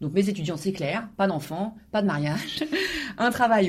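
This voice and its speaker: Lively intonation at a moderate pace. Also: woman. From Normandy, France. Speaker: university professor and author. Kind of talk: interview. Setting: office. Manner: halting, frequent repetitions and hesitations.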